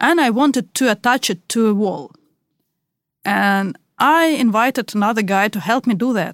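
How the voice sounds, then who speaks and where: In a Russian accent, a woman speaks at a moderate pace, the sound dry and close with no echo in a very clean recording with a silent background. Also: fairly high pitch for a woman, lively intonation. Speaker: podcast co-host. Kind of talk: casual chat.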